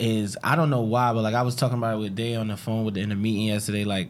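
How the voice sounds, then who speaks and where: Speaking with a New Jersey accent, a man talks at a medium pitch. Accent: New Jersey American English. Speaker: podcast host. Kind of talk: casual chat. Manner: animated.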